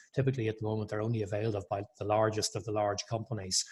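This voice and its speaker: Against a quiet background, a man with an Irish accent speaks in a somewhat breathy voice at a fairly low pitch. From Ireland. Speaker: chamber of commerce executive. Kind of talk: webinar panel talk.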